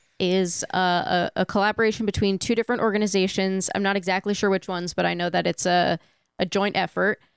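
Here is a woman with a plain, everyday voice at medium pitch. She keeps a moderate pace, and the sound is dry and close with no echo. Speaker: streaming platform staffer. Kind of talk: casual chat. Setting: remote call.

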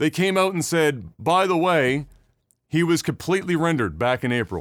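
This man has a fairly high pitch and lively intonation. It is an unremarkable speaking voice. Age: 30s. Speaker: video game podcast host. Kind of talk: casual chat.

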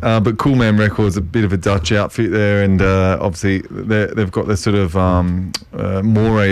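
A man speaks with a fairly low pitch. Noticeable background noise sits behind him. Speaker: community radio co-host. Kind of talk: casual, conversational. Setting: radio studio.

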